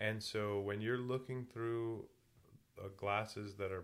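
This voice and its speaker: At a moderate pace, a man with a fairly low pitch speaks in a monotone, flat intonation. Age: 40s. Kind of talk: casual chat.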